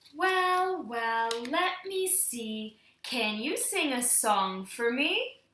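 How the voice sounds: A woman's put-on character voice, high-pitched and very slow, with very wide pitch swings.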